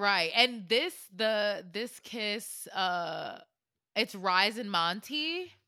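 Over a silent background in a very clean recording, a woman's bright, sharp voice at medium pitch moves at a very slow pace with lively intonation. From Florida. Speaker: podcast co-host. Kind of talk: casual chat with storytelling.

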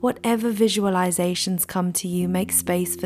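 A gentle, calm tone over noticeable background noise. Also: woman. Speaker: podcast host and meditation guide. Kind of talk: guided meditation. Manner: calm, slow, soothing; gentle, unhurried.

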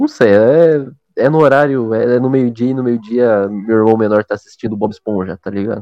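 Speaking in a plain, everyday voice at a medium pitch, a man keeps a moderate pace with ordinary pitch variation and hardly any pauses. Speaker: podcast co-host. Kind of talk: casual chat.

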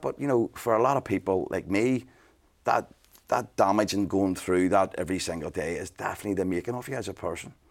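Energetic in tone, a man speaks with a Belfast accent at a fairly low pitch. His pace is fairly quick, with ordinary pitch variation. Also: very clean recording, silent background. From Northern Ireland, Belfast. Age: 40s. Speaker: business mentor and entrepreneur. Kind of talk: casual interview.

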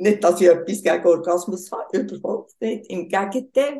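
This is a woman with a Bernese accent. Her tone is dark and mellow. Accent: Bernese Swiss German dialect. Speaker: tantra massage practitioner. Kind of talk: casual interview. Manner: slow.

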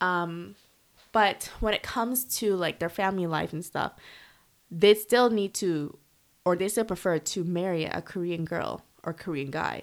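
A woman's normal speaking voice, fairly low in pitch, at a fairly slow pace with ordinary pitch variation, in a very clean recording with a silent background. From Canada. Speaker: expat living in Korea. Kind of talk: casual chat. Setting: at home.

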